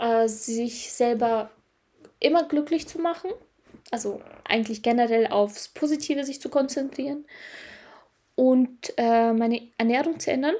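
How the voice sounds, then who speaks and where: Her voice high yet dark and mellow in tone, a woman speaks at a fairly slow pace with ordinary pitch variation and long, frequent pauses. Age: 20s. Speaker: podcast host, mindset coach. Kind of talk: casual solo podcast monologue. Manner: hesitant, frequent filler sounds.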